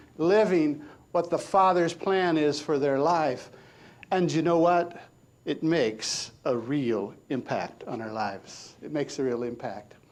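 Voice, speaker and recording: Audible room echo surrounds a man who talks at a fairly slow pace with lively intonation. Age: 60s. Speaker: minister. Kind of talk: sermon. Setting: church.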